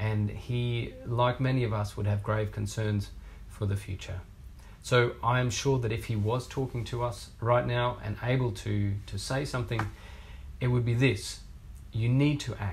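A man's somewhat breathy voice with an Australian accent and fairly even intonation, at a fairly slow pace over light background noise. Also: medium pitch for a man. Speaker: researcher, research fellow. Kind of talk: prepared video statement. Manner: earnest. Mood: earnest, concerned. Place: office.

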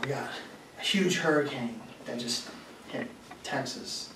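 Audible room echo surrounds the voice, and noticeable background noise runs underneath. The loudness swings widely. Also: man. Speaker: speaker or lecturer. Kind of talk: lecture. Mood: serious. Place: classroom.

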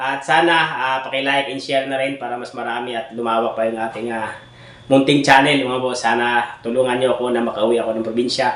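Against noticeable background noise and audible room echo, a man of medium pitch talks at a fairly quick pace in a monotone, flat intonation. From Philippine provinces, outside Manila. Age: 30s. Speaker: vlogger and bibingka vendor. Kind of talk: casual vlog update. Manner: hesitant, many fillers.

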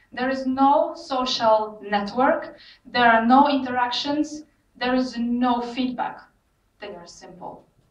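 Amid audible room echo, a woman speaks in a high pitch at a very slow pace. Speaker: presenter. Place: hall.

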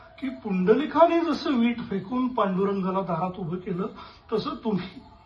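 A man speaks with a high pitch and lively intonation. Noticeable background noise is present. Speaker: theatre artist. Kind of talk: dramatised literary reading on stage. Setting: theatre stage with music. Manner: emotional, reflective.

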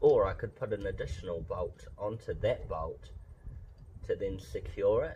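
Moderate pace over light background noise. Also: man. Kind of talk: casual DIY tutorial. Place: garage. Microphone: phone near.

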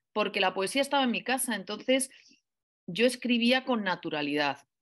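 The woman's pitch is fairly high, with lively intonation. She talks at a moderate pace over a quiet background. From Spain. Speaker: writer and professor; professor. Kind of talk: interview. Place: home room. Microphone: video call.

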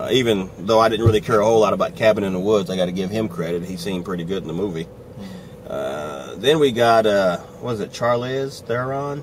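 Over light background noise, a man with a fairly low pitch talks at a moderate pace. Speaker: movie reviewer. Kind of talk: angry rant, movie review. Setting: on the go, before and after the movie. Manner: irate, sarcastic, emphatic, riled up; casual, chatty. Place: car. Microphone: phone near.

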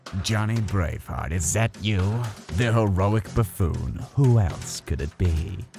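Putting on a character voice, a man talks fairly slowly in a fairly low pitch.

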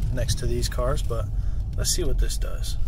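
A man's voice in a dry sound with no echo, against loud background noise. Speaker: car salesperson. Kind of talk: casual product walkthrough. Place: car. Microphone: phone near.

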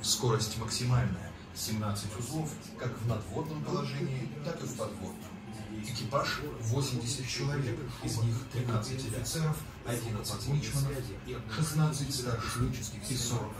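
Amid clear music in the background and audible room echo, a man speaks at a very slow pace with long, frequent pauses and ordinary pitch variation. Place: boat.

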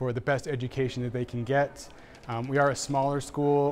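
A man talks at a fairly quick pace in a monotone, flat intonation. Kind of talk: interview answer. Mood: calm, explanatory. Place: hall. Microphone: handheld.

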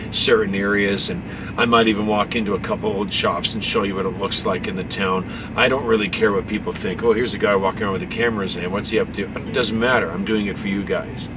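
A man talks at a very fast pace, with noticeable background noise behind him. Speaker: truck driver vlogger. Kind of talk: casual vlog chat. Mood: earnest, grateful. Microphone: phone near.

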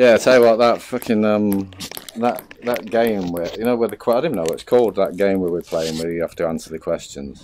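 A man with a British accent talks fairly quickly at a fairly low pitch, with ordinary pitch variation. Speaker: gamer. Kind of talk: casual chat while gaming. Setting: online voice chat, VR gaming.

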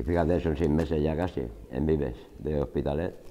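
A man with a dark, mellow tone talks at a fairly quick pace with ordinary pitch variation. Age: 40s. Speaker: job programme participant. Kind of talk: testimony; interview answer. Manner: halting. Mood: calm, sincere, grateful. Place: classroom. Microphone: lapel.

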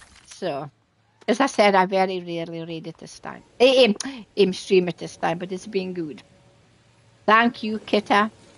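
With a Scottish accent, a woman speaks at medium pitch and a moderate pace. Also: ordinary pitch variation, big swings in loudness. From Scotland. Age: 70s. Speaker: gaming streamer. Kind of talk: live game streaming chat. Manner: chatty.

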